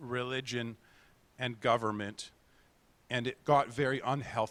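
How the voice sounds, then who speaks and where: A man with an unremarkable speaking voice, medium in pitch and fairly even in intonation. The sound is dry and close with no echo, on a very clean recording with a silent background. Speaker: guest preacher. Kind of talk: sermon. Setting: church.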